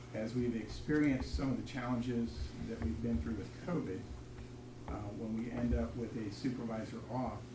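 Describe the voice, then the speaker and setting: Amid noticeable background noise and audible room echo, a man speaks at a medium pitch and moderate pace with lively intonation. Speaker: police chief. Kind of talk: public meeting presentation. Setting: city council meeting room. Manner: soft-spoken; formal.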